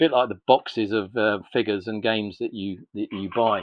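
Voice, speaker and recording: A man speaks in an ordinary speaking voice. His pitch is fairly low and his intonation fairly even. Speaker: miniatures company owner. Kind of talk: casual interview answer.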